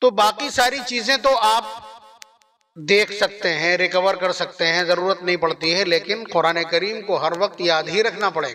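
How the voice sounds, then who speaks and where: A man's high, raised, projected voice, passionate in tone, with ordinary pitch variation. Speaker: Islamic scholar giving a sermon. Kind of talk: religious sermon (bayan) to an audience. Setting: public gathering (jalsa). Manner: emphatic, rhetorical, passionate.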